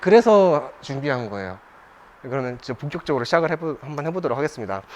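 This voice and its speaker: A man speaks with very wide swings in pitch. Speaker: coffee seminar instructor. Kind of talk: lecture. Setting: live seminar with audience. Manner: conversational, with fillers and restarts.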